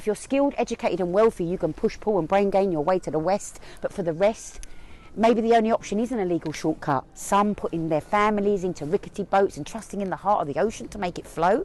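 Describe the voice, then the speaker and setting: A woman at a medium pitch in a Cockney accent, very fast in pace, with ordinary pitch variation. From East London. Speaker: spoken word poet. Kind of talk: spoken word poetry performance.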